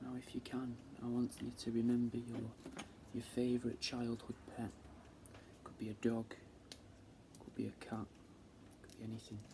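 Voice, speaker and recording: A soft-spoken man with a Manchester accent talks at a moderate pace in a medium pitch, his intonation monotone and flat. His loudness swings widely, and he leaves long, frequent pauses. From England. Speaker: taxidermist. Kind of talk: ASMR.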